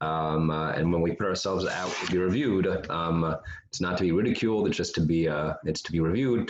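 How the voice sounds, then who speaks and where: This man has a very deep, low pitch. He speaks at a very fast pace. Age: old. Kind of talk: poker hand review. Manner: stuttering, hesitant.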